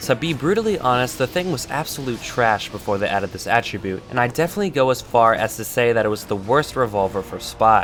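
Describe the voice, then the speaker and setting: A man at medium pitch with lively intonation, talking at a very fast pace with hardly any pauses over noticeable background noise. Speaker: gaming YouTuber. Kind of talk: gameplay commentary. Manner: casual.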